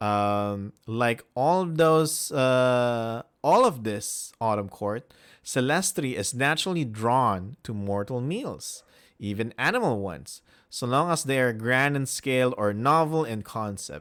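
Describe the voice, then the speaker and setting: Lively intonation from a man with a Filipino accent at medium pitch, on a very clean recording with a silent background. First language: Filipino language. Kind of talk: reading aloud with commentary. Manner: halting.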